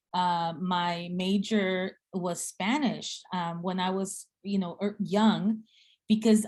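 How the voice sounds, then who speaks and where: In an American accent, a woman with a medium pitch speaks with fairly even intonation and a somewhat breathy voice. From Guatemala and South Texas (Rio Grande Valley). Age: 50s. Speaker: seminary dean and speaker. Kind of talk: talk in a speaker series.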